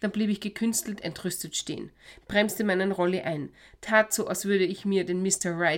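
The speaker uses an unforced reading voice, and the intonation stays fairly even.

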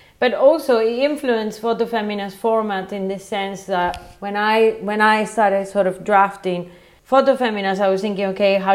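Speaking with a Spanish accent, a woman keeps a moderate pace and fairly even intonation. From Venezuela, Caracas. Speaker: photographer. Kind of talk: casual interview. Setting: internet call.

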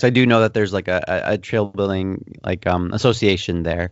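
A man speaks with a Canadian accent and ordinary pitch variation. It is an unremarkable speaking voice. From western Canada. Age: 30s. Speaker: mountain bike YouTuber. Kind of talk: casual interview.

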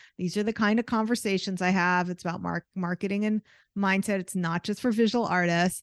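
Here is an unremarkable speaking voice: a woman at medium pitch with fairly even intonation and a fairly quick pace. The sound is dry and close with no echo, against a quiet background. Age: 50s. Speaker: artist and art business coach. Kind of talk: interview conversation.

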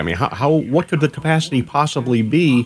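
At a fairly quick clip, a man with an ordinary speaking voice talks with lively intonation. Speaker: radio show co-host. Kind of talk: casual chat on radio.

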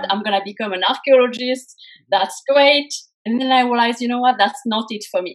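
At a very fast pace, a woman with a French accent speaks in a high pitch. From France. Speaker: career coach. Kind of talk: interview.

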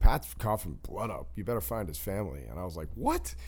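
Speaking very fast with vocal fry, the voice swings very widely in pitch. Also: man. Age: 40s. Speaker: sports agency president and co-host. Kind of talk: casual chat. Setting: studio.

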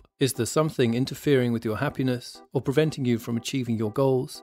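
Music in the background behind a man at a medium pitch, fairly quick in pace, with fairly even intonation and a serious tone. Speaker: podcast host. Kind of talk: dramatic scripted narration of a true mystery story. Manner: hushed, suspenseful, measured storytelling pace; serious, grave, building tension.

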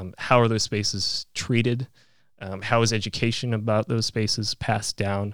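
Recorded very cleanly with a silent background and a dry, close sound with no echo, a man speaks at a moderate pace in a fairly low pitch with monotone, flat intonation. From Alaska, Fairbanks. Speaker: podcast host. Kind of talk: interview. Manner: halting, repeats words.

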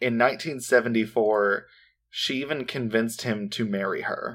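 Here a man talks with an American accent at medium pitch. His pace is moderate, and the recording is very clean with a silent background. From US Midwest. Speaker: true crime podcast co-host. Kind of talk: casual chat with case storytelling.

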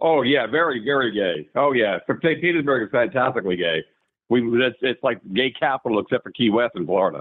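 A man with an ordinary speaking voice, medium pitch, lively intonation and an American accent, at a fairly quick pace. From New York. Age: 60s.

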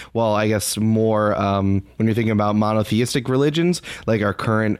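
Captured in a very clean recording with a silent background, a man speaks in an unremarkable speaking voice at a medium pitch with ordinary pitch variation. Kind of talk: casual interview chat.

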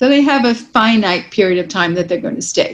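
Somewhat breathy, a woman with an American accent talks at a fairly high pitch. Her intonation is lively. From New York City. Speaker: real estate executive. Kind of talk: interview.

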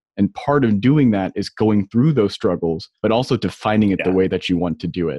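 A man with an unremarkable speaking voice and fairly low pitch talks at a moderate pace. He leaves hardly any pauses. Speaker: podcast host. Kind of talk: interview conversation.

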